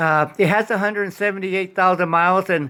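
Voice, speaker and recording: Raised and projected, a man's bright, sharp voice moves at a fairly quick pace, with a high pitch and fairly even intonation. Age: 70s. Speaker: hobbyist car DIY vlogger. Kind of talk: DIY repair tutorial. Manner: halting, many fillers; casual, conversational.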